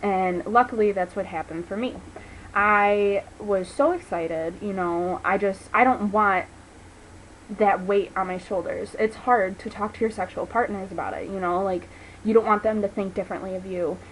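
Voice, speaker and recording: A woman with an unremarkable speaking voice, medium in pitch, speaks at a moderate pace in an American accent. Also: fairly even intonation. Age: 20s. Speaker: vlogger. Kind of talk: personal testimony vlog. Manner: casual, filler-heavy.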